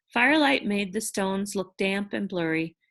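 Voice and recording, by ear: The text is read aloud in a natural voice.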